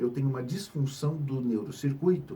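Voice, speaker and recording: Somewhat breathy and moderate in pace, a man's fairly high voice carries a dark, mellow tone with ordinary pitch variation. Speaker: psychiatrist. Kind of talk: health education talk.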